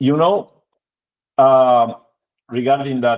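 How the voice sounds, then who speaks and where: With a Spanish accent, a man speaks at a medium pitch. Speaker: product demonstrator. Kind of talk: product demo in a video call. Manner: halting, many fillers.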